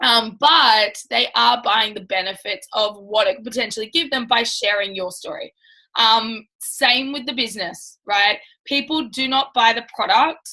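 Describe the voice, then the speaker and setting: Loud and bright with a sharp tone, a woman with a fairly high pitch and ordinary pitch variation talks at a moderate pace. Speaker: network marketing team leader. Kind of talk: live training talk. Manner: casual, filler-heavy.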